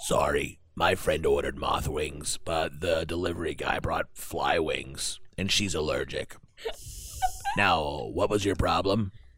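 A man puts on a character voice and talks fairly slowly. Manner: casual, dismissive, chatty.

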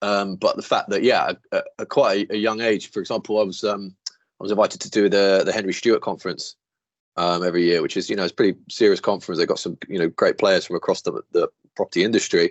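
Very fast speech in a British accent. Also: man. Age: 30s. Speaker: property finance executive. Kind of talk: interview.

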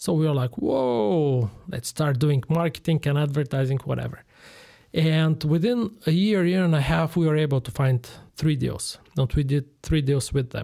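With a Bulgarian accent, a man talks at a moderate pace in a fairly high pitch, his tone dark and mellow, with ordinary pitch variation on a very clean recording with a silent background. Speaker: general contractor. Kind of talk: interview.

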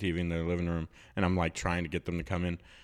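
Very deep and low, a man's voice carries an American accent. He speaks at a very fast pace. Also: very clean recording, silent background. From US South, South Louisiana. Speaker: podcast co-host. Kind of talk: casual chat. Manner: soft-spoken.

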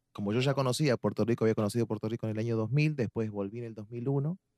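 Dark and mellow in tone, a man's medium-pitched voice shows ordinary pitch variation. He talks at a very fast pace, with a dry, close sound and no echo. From Argentina, La Plata (Buenos Aires). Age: 40s. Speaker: salsa dance teacher. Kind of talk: casual chat.

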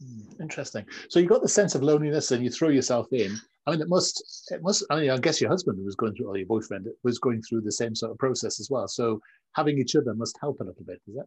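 A very fast, somewhat breathy male voice with a British accent, medium pitch, lively intonation and big swings in loudness

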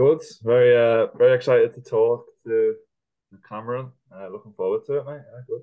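The man's speech moves at a fairly quick clip. Its volume rises and falls sharply. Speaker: student podcast co-host. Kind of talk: interview conversation.

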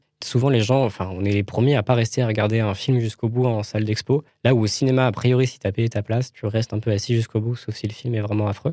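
On a very clean recording with a silent background and a dry, close sound with no echo, a man with a medium pitch and dark, mellow tone talks at a very fast pace with hardly any pauses and fairly even intonation. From France, Paris region (Val-d'Oise). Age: 20s. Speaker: film director and art student. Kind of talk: casual interview.

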